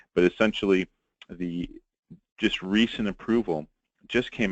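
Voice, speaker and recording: With a New York accent, a man talks at a fairly quick clip with ordinary pitch variation, the sound dry and close with no echo. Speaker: pharmacist presenting a webinar. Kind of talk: webinar lecture. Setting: webinar recording.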